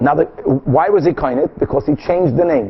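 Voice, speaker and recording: A man's voice over noticeable background noise. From Brazil. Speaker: rabbi teaching Talmud. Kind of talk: lecture.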